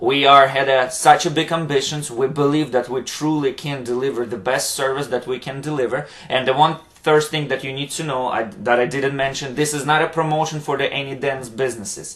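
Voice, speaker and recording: A man with a Ukrainian accent talks at a fairly quick pace and fairly high pitch, keeping his intonation fairly even. There is noticeable background noise. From Ukraine. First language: Ukrainian or Russian. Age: 30s. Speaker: dance instructor and motivational vlogger. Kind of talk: motivational vlog monologue. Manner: halting, many fillers.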